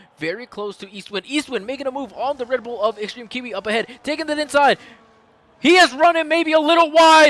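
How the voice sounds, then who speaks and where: At a fairly quick pace, a man talks in an extremely high pitch with lively intonation and an animated tone, in a dry, close sound with no echo and noticeable background noise. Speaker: sim racing league commentator. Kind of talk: live commentary. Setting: live stream.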